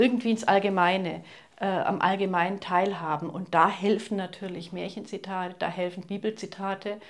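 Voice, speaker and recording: A woman speaks at a moderate pace, her pitch medium and her intonation fairly even. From Swabia, southern Germany (Ulm). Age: 60s. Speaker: poet and novelist. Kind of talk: interview. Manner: hesitant, with fillers.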